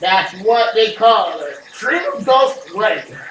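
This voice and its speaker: Putting on a character voice, a man talks at a very slow pace and an extremely high pitch, with slight echo. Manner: gruff, macho, over-the-top.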